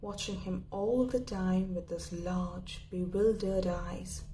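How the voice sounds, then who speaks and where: Against noticeable background noise, a woman speaks at a very slow pace and medium pitch with fairly even intonation. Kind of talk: story reading, audiobook-style narration. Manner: soft-spoken, whispery.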